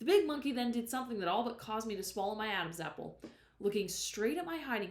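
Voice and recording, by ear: Here the text is read aloud in a natural voice.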